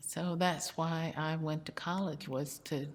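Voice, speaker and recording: In a Texan accent, a woman speaks at a moderate pace with a very deep, low pitch and fairly even intonation. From Houston, Texas. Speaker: city legal department employee and local historian. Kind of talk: oral history interview.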